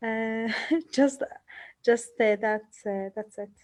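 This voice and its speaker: The tone is dark and mellow. It carries a non-native accent. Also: woman. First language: Arabic. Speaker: psychologist. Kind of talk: participant sharing. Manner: halting, many fillers.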